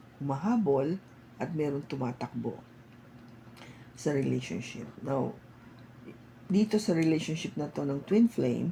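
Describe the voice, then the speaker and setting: A woman speaks at a fairly slow pace with a very deep, low pitch and vocal fry. Her intonation is lively, broken by long, frequent pauses. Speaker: tarot reader. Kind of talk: tarot reading. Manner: casual Taglish with fillers.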